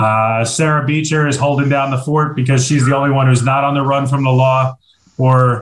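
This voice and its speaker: Medium in pitch, a man's voice moves at a moderate pace. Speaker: podcast host. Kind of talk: casual banter. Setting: video call. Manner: animated, joking.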